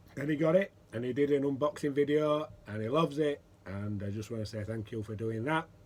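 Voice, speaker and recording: Moving at a fairly quick pace, a man talks at a medium pitch with ordinary pitch variation. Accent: British. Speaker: pipe maker and pipe smoking vlogger. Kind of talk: casual vlog chat.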